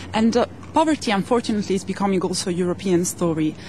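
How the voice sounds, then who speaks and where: Speaking at a very fast pace in an Italian accent, a woman uses a medium pitch and ordinary pitch variation over noticeable background noise. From Italy. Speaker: journalist, audience member. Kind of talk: audience question.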